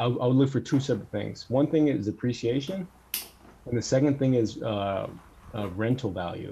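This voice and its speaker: A man with an American accent, medium pitch, and a dark, mellow tone, somewhat breathy, with ordinary pitch variation over a quiet background. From US, Northern California (Bay Area). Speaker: semiconductor equipment industry worker, frequent business traveler. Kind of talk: casual chat.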